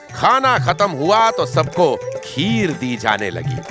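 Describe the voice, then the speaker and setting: A man speaks at a high pitch with very wide pitch swings, music playing in the background. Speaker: storyteller. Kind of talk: folk tale narration. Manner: lively, expressive.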